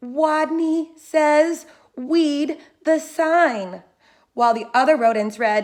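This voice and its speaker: A woman puts on a squeaky, high character voice. She mumbles at a very slow pace. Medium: read story. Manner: timid, mumbling.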